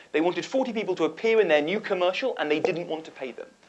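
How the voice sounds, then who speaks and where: This man speaks in a British accent. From United Kingdom. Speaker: nonprofit founder and advocate. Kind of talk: panel discussion.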